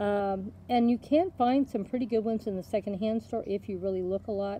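A dark, mellow tone at a moderate pace with fairly even intonation. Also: woman, medium pitch for a woman.

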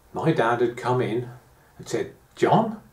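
Over a quiet background with audible room echo, a man speaks at a very slow pace in a dark, mellow tone. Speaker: gardening vlogger reminiscing. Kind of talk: casual vlog chat. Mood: nostalgic, reflective. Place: home room. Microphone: camera far.

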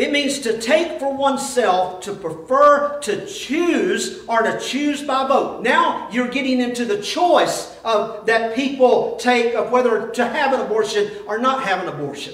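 With few pauses, the speaker goes at a fairly slow pace, using a fairly bright tone and lively intonation amid strong room echo. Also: man, extremely high pitch for a man.

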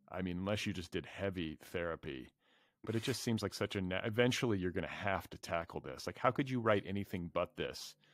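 In a Midwestern American accent, the speaker goes at a fairly quick pace with ordinary pitch variation, over a quiet background and a dry sound with no echo. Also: man, very deep, low pitch for a man. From US Midwest. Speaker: literary podcast host. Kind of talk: casual interview conversation. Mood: warm, amused. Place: home room. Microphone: studio mic.

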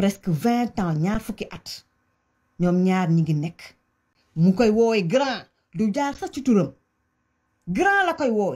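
A loud woman at a very slow pace, with very wide pitch swings and long, frequent pauses, over a quiet background. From Senegal. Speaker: commentator on Senegalese politics. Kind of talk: angry rant. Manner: animated; loud, heated. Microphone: phone near.

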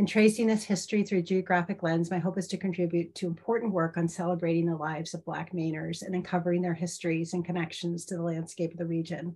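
The voice has a dark, mellow tone and is somewhat breathy. It moves at a very fast pace with monotone, flat intonation. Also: woman, fairly low pitch for a woman, hardly any pauses. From Maine. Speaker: professor. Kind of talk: lecture. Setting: video call. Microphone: webcam.

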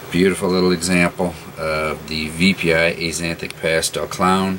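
Through noticeable background noise, a man speaks fairly slowly with monotone, flat intonation. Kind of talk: casual product description. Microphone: phone near.

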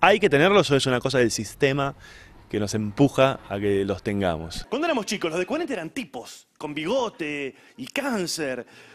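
Swinging very widely in pitch, a man talks in a fairly high voice. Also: moderate pace. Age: 40s. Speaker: stand-up comedian. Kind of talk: interview. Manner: halting.

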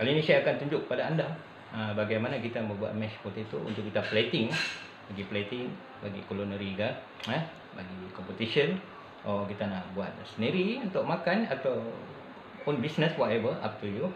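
A man talks at a fairly quick pace with noticeable background noise around him. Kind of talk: tutorial. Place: kitchen. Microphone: phone near.

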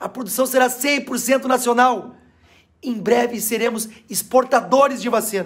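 The man's pitch is extremely high, with fairly even intonation. He talks at a fairly slow pace against a quiet background. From Rio Grande do Sul, Brazil. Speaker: state legislator and politician. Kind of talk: angry political rant. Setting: video address, monologue. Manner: indignant, forceful, emphatic. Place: home room. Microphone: phone near.

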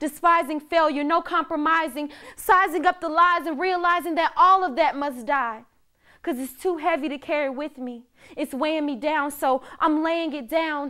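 With an American accent, a woman speaks in a raised, projected voice at a high pitch, her tone bright and sharp, using ordinary pitch variation at a moderate pace over a quiet background. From US South, Georgia. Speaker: spoken word artist. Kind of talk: spoken word performance. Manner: rhythmic, emphatic delivery. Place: studio. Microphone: lapel.

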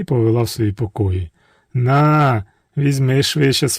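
Quiet background behind plain reading aloud, pitch varying in an ordinary way

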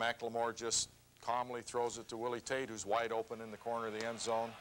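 Fairly quick pace from a man. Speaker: football coach on TV show. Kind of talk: play breakdown commentary. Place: studio.

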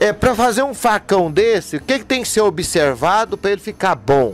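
Over music in the background, a man speaks at a moderate pace with a high pitch and very wide pitch swings, in a dry sound with no echo. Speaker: priest. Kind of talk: interview questions. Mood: warm, admiring. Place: workshop. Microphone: handheld.

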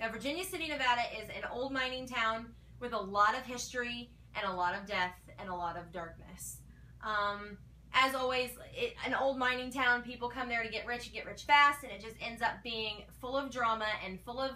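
A woman's high-pitched voice shows ordinary pitch variation at a moderate pace. Her loudness swings widely. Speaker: paranormal show fan vlogger. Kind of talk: casual vlog commentary. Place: home room. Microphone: camera far.

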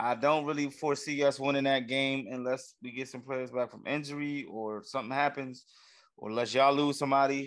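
Against a quiet background, a man with a fairly high pitch talks at a fairly quick pace in a flat monotone. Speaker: sports podcast co-host. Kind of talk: casual banter. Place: home room. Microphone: studio mic.

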